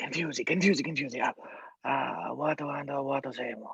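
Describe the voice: A man puts on a character voice in an Italian accent, with a husky, rough edge, vocal fry and a fairly bright tone. He speaks at a moderate pace and a medium pitch, with ordinary pitch variation. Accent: exaggerated mock Italian.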